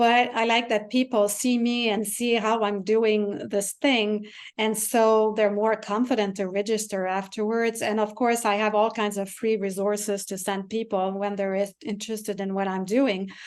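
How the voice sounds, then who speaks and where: In a Quebec accent, a woman speaks at a moderate pace in a fairly high, monotone voice with flat intonation and hardly any pauses, against a quiet background. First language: French. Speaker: piano teacher and composer. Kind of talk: interview.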